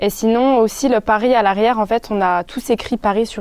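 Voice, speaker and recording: Using a normal speaking voice, a woman talks at a fairly quick pace. Her pitch varies in an ordinary way. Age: 20s. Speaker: illustrator and footwear designer. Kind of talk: casual chat.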